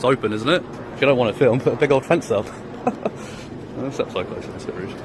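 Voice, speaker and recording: A man talks at a very fast pace and a medium pitch, with ordinary pitch variation. His loudness swings widely, and background noise is noticeable. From UK. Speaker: police auditor filming in public. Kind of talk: confrontational street encounter.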